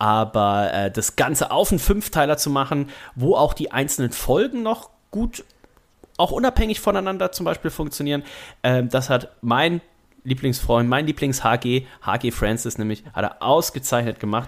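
Lively intonation marks a man's fairly high-pitched voice at a moderate pace. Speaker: wrestling podcaster. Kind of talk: casual chat. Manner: speaking quietly.

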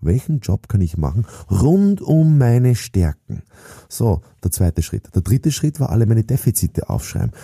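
A man with a somewhat breathy, dark, mellow tone at medium pitch talks at a moderate pace with very wide pitch swings and very even loudness, in a dry, close sound with no echo. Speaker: sales trainer and author. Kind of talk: motivational monologue.

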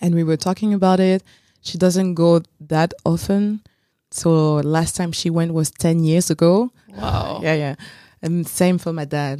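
Delivered at a fairly slow pace in a French accent, the voice has a dark, mellow tone and ordinary pitch variation. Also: woman, fairly low pitch for a woman, dry, close sound with no echo. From France, Paris suburbs. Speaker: podcast guest. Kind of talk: casual chat. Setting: studio.

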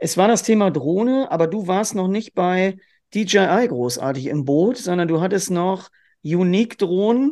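Against a quiet background, a man speaks fairly slowly with a high pitch, lively intonation and a dark, mellow tone. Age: 40s. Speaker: hunting dog trainer. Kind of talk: interview.

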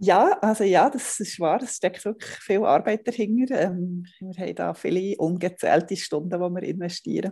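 Her tone is dark and mellow, at medium pitch. The woman speaks at a moderate pace with ordinary pitch variation. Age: 40s. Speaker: family blogger. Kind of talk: interview.

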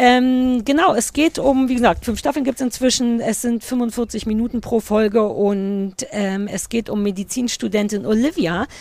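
The speech runs at a fairly slow pace with hardly any pauses and ordinary pitch variation. Noticeable background noise is present. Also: woman, fairly high pitch for a woman. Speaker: podcast co-host. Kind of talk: casual chat. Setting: outdoors.

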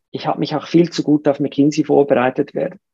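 The recording is dry and close with no echo as a woman speaks at a moderate pace with a very deep, low pitch, a dark, mellow tone and fairly even intonation. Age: 50s. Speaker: entrepreneur and investor. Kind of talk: casual interview. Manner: hesitant fillers, repetitions.

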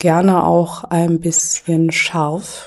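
A woman speaks at a very slow pace with a fairly low pitch. Her intonation stays flat and monotone. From Germany. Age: 40s. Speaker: anti-racism activist. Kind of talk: podcast interview.

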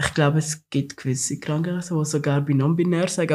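Using an unremarkable speaking voice, a man with a fairly high pitch talks at a moderate pace with fairly even intonation. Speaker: podcast host. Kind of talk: casual chat.

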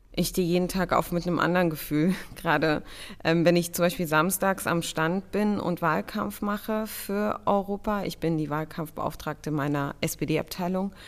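A woman with a fairly low pitch talks at a moderate pace in an ordinary speaking voice, with ordinary pitch variation. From Germany, child of refugee parents. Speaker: state secretary and politician. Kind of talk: interview.

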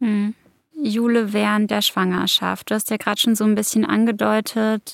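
Recorded very cleanly against a silent background, a woman speaks at a moderate pace in a dry, close sound with no echo. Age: 20s. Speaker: podcast host. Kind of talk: casual interview.

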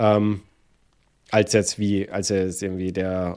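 Over a silent background in a very clean recording, a man speaks in a fairly low pitch. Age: 30s. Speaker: iOS developer and YouTuber. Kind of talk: casual interview chat.

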